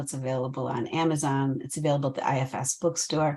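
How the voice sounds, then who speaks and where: This woman's intonation is fairly even. She talks at a fairly quick speed. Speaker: therapist and trainer. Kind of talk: interview. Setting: video call. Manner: fast.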